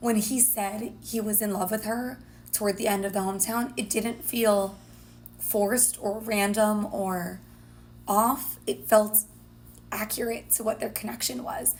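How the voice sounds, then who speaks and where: Her voice is fairly high for a woman, with vocal fry and ordinary pitch variation. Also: fairly slow pace. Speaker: dating coach, podcast co-host. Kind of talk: casual recap chat.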